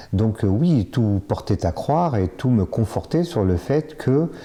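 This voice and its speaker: A man talks with lively intonation. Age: 50s. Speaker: bariatric surgery patient. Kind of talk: testimony. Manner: halting, many fillers and repetitions.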